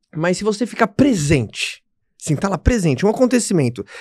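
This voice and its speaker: A man at a very fast pace with lively intonation against a quiet background. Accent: Brazilian. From Brazil. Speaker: podcast host. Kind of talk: casual interview chat. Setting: studio. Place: studio. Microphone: studio mic.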